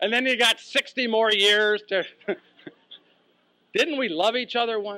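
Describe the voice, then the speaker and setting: A man raises and projects a high-pitched voice with a bright, sharp tone and ordinary pitch variation, speaking at a fairly slow pace in a dry, close sound with no echo. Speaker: professional speaker. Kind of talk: humorous keynote speech story. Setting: live audience.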